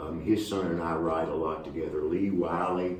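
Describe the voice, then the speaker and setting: A man with a Southern US accent at a moderate pace, with audible room echo. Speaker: country singer-songwriter. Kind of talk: casual interview.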